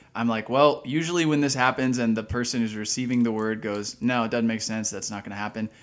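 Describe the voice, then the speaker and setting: Barely pausing at all, a man speaks at a very fast pace. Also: medium pitch for a man, fairly even intonation. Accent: American. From Dallas, Texas. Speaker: podcast co-host, ministry worker. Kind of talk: casual chat.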